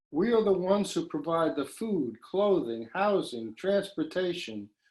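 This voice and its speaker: A man's voice sits at a high pitch as he talks at a fairly slow pace. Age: 60s. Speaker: poet. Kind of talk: poetry reading.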